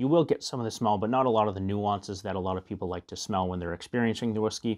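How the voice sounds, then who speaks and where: Against a quiet background, a man speaks very fast at a fairly low pitch with ordinary pitch variation. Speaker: whiskey reviewer. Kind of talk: tutorial. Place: home room. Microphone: lapel.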